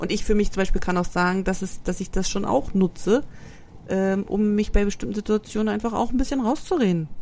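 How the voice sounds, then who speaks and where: At a fairly quick pace, the speaker uses a dark, mellow tone with ordinary pitch variation. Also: woman, medium pitch for a woman. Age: 40s. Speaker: podcast host. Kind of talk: casual chat.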